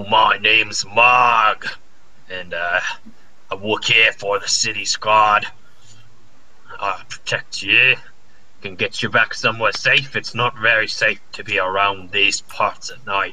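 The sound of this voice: A man puts on a character voice and speaks at a fairly slow pace with long, frequent pauses. Background noise is noticeable.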